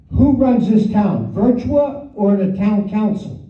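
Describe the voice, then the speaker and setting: A man speaks loudly with a high pitch at a very slow pace. Audible room echo hangs on his voice. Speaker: resident speaking at public comment. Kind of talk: public comment at council meeting. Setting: council meeting room.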